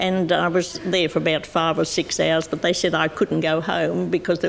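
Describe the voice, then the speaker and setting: There is noticeable background noise as a woman with an Australian accent speaks at a moderate pace. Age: 80s+. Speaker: pensioner and TV show regular. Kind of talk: talk show interview. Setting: TV studio with audience.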